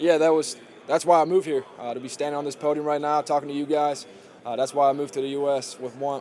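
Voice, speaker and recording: Over noticeable background noise, a man talks at a very fast pace in a fairly high pitch with monotone, flat intonation. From Germany. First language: German. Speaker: college football player. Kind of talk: press conference interview. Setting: podium with media. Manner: halting, many fillers.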